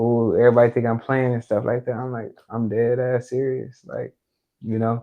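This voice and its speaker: Monotone, flat intonation at a moderate pace. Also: man, medium pitch for a man. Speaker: podcast guest, shooting survivor. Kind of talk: casual interview conversation.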